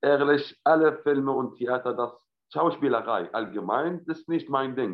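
A man speaks with an Arabic accent. His voice sits at a fairly high pitch. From Syria. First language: Arabic (speaking German). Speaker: actor. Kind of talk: casual interview chat. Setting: video call from home. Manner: halting, many fillers.

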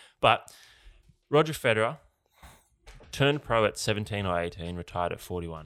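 A man with an Australian accent, fairly low in pitch, with lively intonation, a fairly quick pace, and long, frequent pauses. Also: very clean recording, silent background. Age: 30s. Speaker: athlete and podcast co-host. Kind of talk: casual chat.

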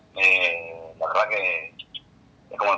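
A man talks over noticeable background noise. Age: 30s. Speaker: DJ and architect. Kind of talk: interview. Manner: halting.

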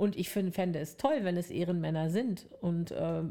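Against a very clean, silent background, a woman speaks at a moderate pace with a dark, mellow tone. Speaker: podcast co-host. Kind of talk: casual chat.

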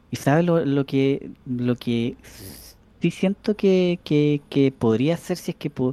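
A man's dark, mellow voice with ordinary pitch variation comes through a very clean recording with a silent background and a dry, close sound with no echo. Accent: Chilean. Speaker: podcast co-host. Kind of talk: casual chat. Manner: halting, repeats words.

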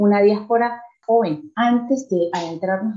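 Pitch rises and falls in an ordinary way here. The tone is dark and mellow. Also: woman. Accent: Venezuelan. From Venezuela. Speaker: radio host. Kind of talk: interview.

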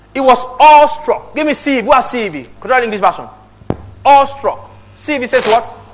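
A man with an extremely high pitch talks in an animated tone while noticeable background noise carries on. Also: ordinary pitch variation, moderate pace. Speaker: pastor. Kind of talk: sermon. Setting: church with congregation. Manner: animated, exhorting; loud, rhetorical, direct address.

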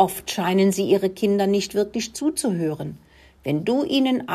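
Lively intonation in an unforced reading voice

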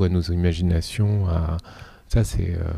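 A man speaks at a fairly slow pace in a very deep, low voice with a dark, mellow tone. His intonation is fairly even, and the recording is very clean with a silent background. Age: 40s. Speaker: dance teacher and choreographer. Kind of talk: interview. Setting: dance venue.

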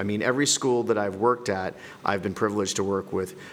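A man's fairly low voice with a Canadian accent, an unremarkable speaking voice, with normal pitch variation. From Canada. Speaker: middle school principal. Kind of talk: podcast interview.

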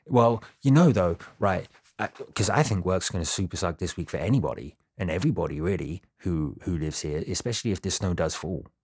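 A man with a very deep, low pitch on a very clean recording with a silent background. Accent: British. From Britain. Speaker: podcast co-host. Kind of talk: casual chat. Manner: animated.

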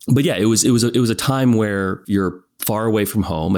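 A man with a West Coast American accent speaks with ordinary pitch variation on a very clean recording with a silent background. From Northern California, US. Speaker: film and television producer. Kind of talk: casual interview.

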